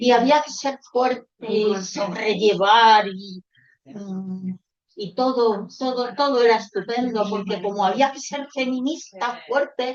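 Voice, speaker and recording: A woman speaks very slowly at a fairly high pitch. Her pitch varies in an ordinary way while her loudness swings widely. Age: 80s+. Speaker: audience member. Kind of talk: casual chat.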